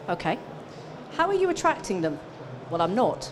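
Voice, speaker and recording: A woman talks in an animated tone. Audible room echo and noticeable background noise surround her. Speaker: business coach for accountants. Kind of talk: conference presentation. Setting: stage with audience.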